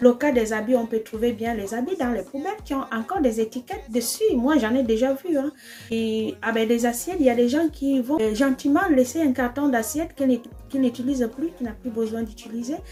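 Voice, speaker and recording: A woman with an Equatorial Guinean accent, high in pitch, at a fairly quick pace with ordinary pitch variation and noticeable background noise. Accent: African, Spanish-speaking. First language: Spanish (speaking French). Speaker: trader shipping containers. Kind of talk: casual vlog. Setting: in her bedroom. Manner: hesitant, many fillers.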